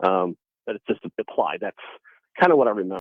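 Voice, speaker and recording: A man talks at a fairly quick pace. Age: 60s. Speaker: caller. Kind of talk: call-in radio conversation. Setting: phone call. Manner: halting, many fillers.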